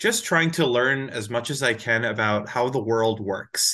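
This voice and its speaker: A man with an American accent talks at a moderate pace and medium pitch, with ordinary pitch variation and a bright, sharp tone, against a quiet background. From US Northeast, New Jersey. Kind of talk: interview explaining science to a child.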